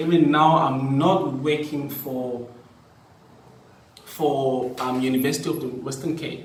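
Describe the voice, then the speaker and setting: Here a man with a fairly high pitch talks at a fairly slow pace, with fairly even intonation and long, frequent pauses. Audible room echo and noticeable background noise fill the recording. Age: young. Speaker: teacher and vlogger. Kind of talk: personal vlog talk. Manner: repetitive, hesitant.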